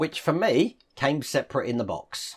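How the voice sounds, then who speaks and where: A man speaks with a British accent at a fairly high pitch. His intonation is lively. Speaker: model-building YouTuber. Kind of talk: tutorial.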